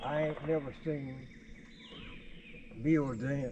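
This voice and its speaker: A man with a Southern US accent talks at a fairly slow pace. Noticeable background noise is present. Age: 80s+. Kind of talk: casual conversation.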